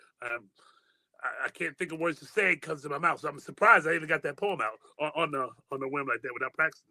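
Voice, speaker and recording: Speaking very fast with an American accent, the voice shows ordinary pitch variation. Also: man, fairly high pitch for a man. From Michigan (Muskegon). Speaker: spoken word poet. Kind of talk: interview testimony. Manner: halting, repetitive.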